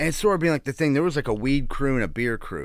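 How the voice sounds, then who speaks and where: In a very clean recording with a silent background, a man speaks with a Pittsburgh accent. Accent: Western Pennsylvania (Pittsburgh). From Pittsburgh, Greenfield. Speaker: comedian. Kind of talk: casual chat.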